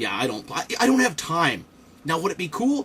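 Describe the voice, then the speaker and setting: An animated man at a fairly quick pace, very wide pitch swings, and noticeable background noise. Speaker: toy reviewer and Marine veteran. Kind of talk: casual build commentary. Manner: fast.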